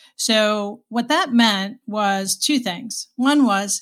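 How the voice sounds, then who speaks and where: A woman with an American accent is heard in a very clean recording with a silent background. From Boston, Massachusetts. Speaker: HR executive, former nurse. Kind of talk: interview.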